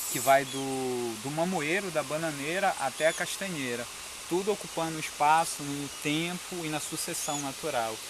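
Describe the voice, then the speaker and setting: With audible room echo and noticeable background noise, a man speaks at a moderate pace. His pitch is fairly high, with ordinary variation. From Brazil, Pará (São Miguel do Guamá). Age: 40s. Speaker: agroforestry farmer and permaculture educator. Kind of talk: on-site explanation to visitors.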